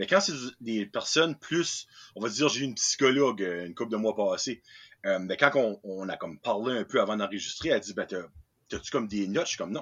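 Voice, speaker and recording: A man speaks with an Acadian accent at a fairly quick pace. His pitch is medium and his intonation lively. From New Brunswick, Acadian. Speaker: podcast host. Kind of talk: casual chat.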